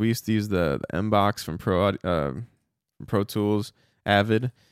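A normal speaking voice from a man, fairly low in pitch, with ordinary pitch variation, dry, close sound with no echo, and a very clean recording over a silent background. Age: 30s. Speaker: metal guitarist and podcast host. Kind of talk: solo podcast monologue. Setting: small home studio.

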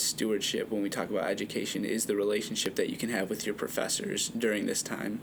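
With noticeable background noise behind him, a man talks at a fairly quick pace in a monotone, flat intonation. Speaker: podcast host. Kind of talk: casual chat.

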